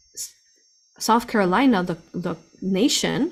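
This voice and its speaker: This woman's intonation is lively. There is some breathiness in her voice. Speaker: spiritual channel host, remote viewer. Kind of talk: live stream talk to chat.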